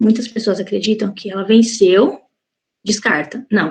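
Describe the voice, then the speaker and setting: A woman's somewhat breathy voice, fairly high in pitch. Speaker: cosmetics formulation chemist, guest speaker. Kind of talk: online lecture.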